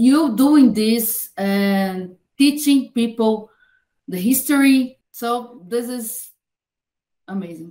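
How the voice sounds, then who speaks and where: In a quiet background, a woman speaks very slowly with a Portuguese accent, her fairly high voice dark and mellow in tone. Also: ordinary pitch variation, big swings in loudness. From Brazil. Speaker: podcast host. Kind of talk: interview. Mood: warm, admiring. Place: home room.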